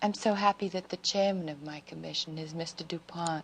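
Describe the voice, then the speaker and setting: A woman's fairly low voice at a moderate pace, a plain, everyday voice with fairly even intonation. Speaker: First Lady being interviewed. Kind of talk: interview answer. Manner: soft-spoken, gentle.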